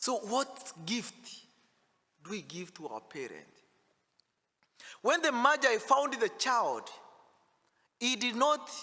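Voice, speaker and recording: In a raised, projected voice of extremely high pitch and bright, sharp tone, a man speaks at a very slow pace with big swings in loudness and long, frequent pauses. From Africa. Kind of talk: sermon. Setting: church.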